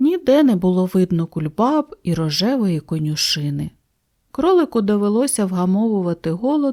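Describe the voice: Someone reads the text plainly aloud, and the background is quiet.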